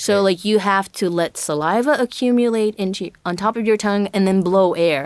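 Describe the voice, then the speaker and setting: A woman with an American accent speaks at a fairly quick pace, at a medium pitch with ordinary pitch variation and hardly any pauses. It is a normal speaking voice. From Brazil, with years in Japan and the US. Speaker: singer-songwriter. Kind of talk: interview.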